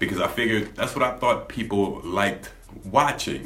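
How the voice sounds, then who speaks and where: Over noticeable background noise and audible room echo, a man speaks at a moderate pace with a fairly low pitch. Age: adult. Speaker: YouTuber, gaming channel. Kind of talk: casual vlog monologue. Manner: calm, laid back; hesitant, many fillers.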